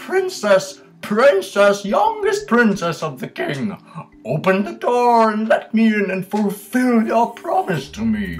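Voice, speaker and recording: Putting on a character voice, a high-pitched man speaks at a fairly slow pace with faint music in the background. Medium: read story. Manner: insistent.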